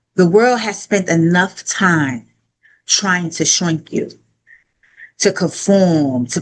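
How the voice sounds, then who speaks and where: A woman with a fairly low pitch and lively intonation speaks at a very slow pace, leaving long, frequent pauses. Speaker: conference keynote speaker. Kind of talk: motivational speech. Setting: stage with audience. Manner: animated.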